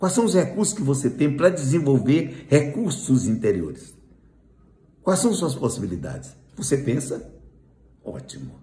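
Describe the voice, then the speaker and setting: Long pauses break up the speech often, and the pitch swings very widely. The tone is dark and mellow, with vocal fry. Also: man, fairly high pitch for a man. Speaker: spiritist lecturer. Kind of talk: lecture.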